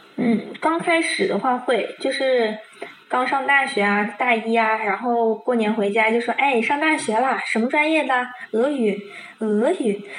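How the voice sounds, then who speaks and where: A woman with a high pitch speaks at a fairly slow pace, her loudness very even. Noticeable background noise and audible room echo fill the recording. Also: ordinary pitch variation. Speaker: Russian language student. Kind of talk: casual chat. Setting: video call.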